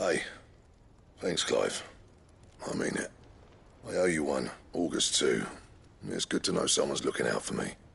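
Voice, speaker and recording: A man puts on a raspy character voice, talking at a moderate pace with long, frequent pauses. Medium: video game. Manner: brisk, affectionate.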